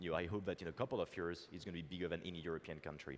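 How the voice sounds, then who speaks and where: A man with a French accent has a very deep, low pitch. He talks at a very fast pace. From France. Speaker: tech entrepreneur. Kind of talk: conference keynote talk. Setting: stage with audience. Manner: hesitant with fillers.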